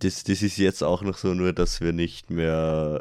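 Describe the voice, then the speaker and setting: Speaking at a fairly slow pace, a man with a very deep, low voice uses lively intonation. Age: young. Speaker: podcast host. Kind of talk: casual chat.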